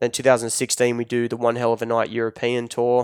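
In an Australian accent, the speaker goes at a fairly quick pace, recorded very cleanly against a silent background with a dry, close sound and no echo. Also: man. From Australia, Newcastle NSW area, rural. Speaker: celebrity photographer and digital manager. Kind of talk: casual interview. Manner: casual, laid-back.

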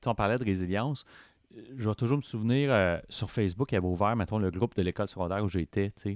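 A man with a fairly low pitch talks at a very fast pace with ordinary pitch variation and big swings in loudness, in a very clean, dry, close recording with no echo and a silent background. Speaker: podcaster in addiction recovery. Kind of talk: casual interview chat.

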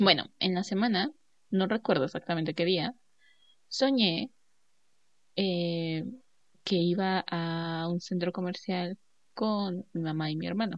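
A woman speaks at a very slow pace with a fairly low pitch. She leaves long, frequent pauses, and her pitch varies in an ordinary way. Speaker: podcast co-host. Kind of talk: casual chat.

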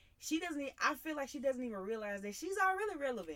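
A woman speaks with very wide pitch swings. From Mississippi. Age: 20s. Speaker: college student. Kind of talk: casual chat.

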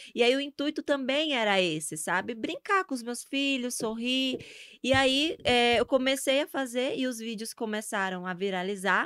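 In a northeastern Brazilian accent, a woman with a high pitch speaks at a moderate pace with lively intonation, the recording very clean and dry, close with no echo over a silent background. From Brazil, Sergipe (Northeast). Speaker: social media influencer. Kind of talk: casual interview chat. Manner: animated.

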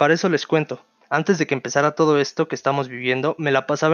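A man speaks at a very fast pace with fairly high pitch. His intonation stays monotone and flat. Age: 20s. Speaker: podcast host, university student. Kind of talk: casual solo podcast monologue.

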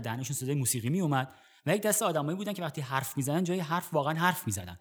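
A man speaks very fast at a fairly high pitch with very wide pitch swings, on a very clean recording with a silent background. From Iran, Gorgan. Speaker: podcast host, cinema narrator. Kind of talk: scripted narration; personal storytelling.

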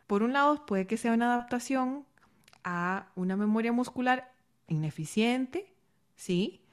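A woman with a fairly high pitch talks at a fairly slow pace, using long, frequent pauses. Her intonation is lively, and the background is quiet. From Costa Rica. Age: 30s. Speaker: singing teacher and breathing coach. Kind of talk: interview.

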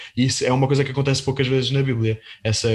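Very fast and somewhat breathy, the delivery keeps a monotone, flat intonation. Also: man. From Portugal. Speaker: podcast host. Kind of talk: interview on religious topics. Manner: halting, repeats words.

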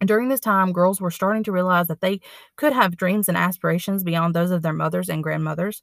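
An ordinary speaking voice from a woman, medium pitch, ordinary pitch variation, fairly quick pace, and a dry, close sound with no echo. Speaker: library staff podcast host. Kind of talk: scripted narration.

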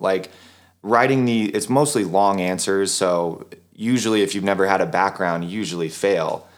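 A normal speaking voice from a man, fairly low in pitch, at a moderate pace with ordinary pitch variation, in a very clean recording with a silent background. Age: 30s. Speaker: personal trainer and gym owner. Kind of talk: interview about personal life.

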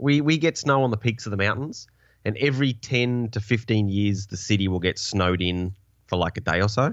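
Talking at a fairly quick pace, a man with an Australian accent shows ordinary pitch variation. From Tasmania, Australia. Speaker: podcast guest. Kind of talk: casual chat. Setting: video call.

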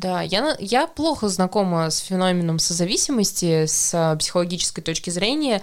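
A woman in a normal speaking voice, lively intonation, moderate pace and hardly any pauses. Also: medium pitch for a woman. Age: 20s. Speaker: podcast host. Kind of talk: casual chat.

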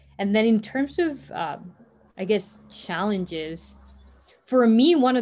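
A woman speaks at a very slow pace with ordinary pitch variation, on a very clean recording with a silent background. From Costa Rica. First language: Spanish. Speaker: startup co-founder. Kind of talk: interview.

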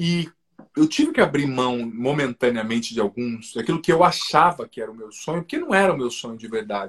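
Speaking at a fairly quick pace, a man with a normal speaking voice and medium pitch uses lively intonation and big swings in loudness. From southern Brazil, Paraná. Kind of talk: testimony in a live interview. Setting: video live stream.

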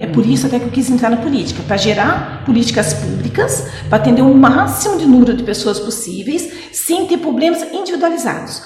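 This woman speaks fairly quickly with hardly any pauses, her high voice making very wide pitch swings. Noticeable background noise runs underneath. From Brazil, Mogi Mirim (São Paulo state). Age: 40s. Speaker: city councillor and police officer. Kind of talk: radio interview.

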